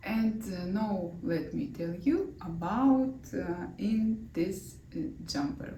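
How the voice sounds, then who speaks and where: Speaking very slowly with a Russian accent, a woman is heard amid noticeable background noise and audible room echo. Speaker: knitting designer and vlogger. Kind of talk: knitting vlog. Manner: halting, many fillers.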